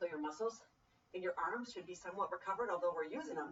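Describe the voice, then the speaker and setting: A woman speaks in an upbeat tone at a fairly quick pace. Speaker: personal trainer. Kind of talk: fitness class instruction. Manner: speaking loudly; encouraging, upbeat.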